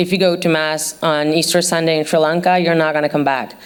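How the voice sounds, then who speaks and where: A woman with a non-native accent talks at a fairly quick pace. Her fairly low voice has monotone, flat intonation. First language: not English. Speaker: journalist. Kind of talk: panel talk. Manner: hesitant, many fillers.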